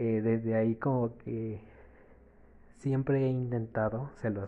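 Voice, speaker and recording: A man at a medium pitch, very slow in pace, with monotone, flat intonation. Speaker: podcaster. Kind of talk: casual monologue.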